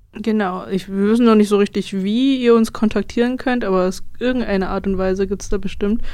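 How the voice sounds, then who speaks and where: Her intonation stays fairly even as this woman talks fairly quickly in a medium-pitched voice. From Brandenburg, Germany. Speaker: student radio host. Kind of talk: casual music radio chat. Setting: radio studio.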